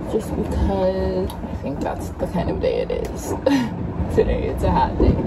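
A woman talks at a fairly slow pace while loud background noise plays. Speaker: sailing vlogger. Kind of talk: casual vlog chat. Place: boat. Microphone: phone near.

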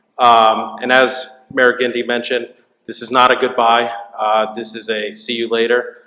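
Big swings in loudness mark this man's medium-pitched voice, which has a bright, sharp tone and monotone, flat intonation at a moderate pace, with audible room echo. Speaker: borough council president. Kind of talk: farewell speech at council meeting. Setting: public meeting in school cafeteria.

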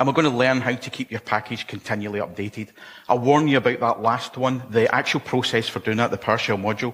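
A man with a Scottish accent, medium in pitch, his intonation fairly even. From Scotland. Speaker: conference speaker. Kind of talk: technical conference talk. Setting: stage with audience. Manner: fast. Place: hall.

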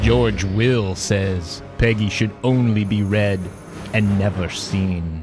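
A man's fairly low voice at a very slow pace over music in the background. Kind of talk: parody movie trailer narration.

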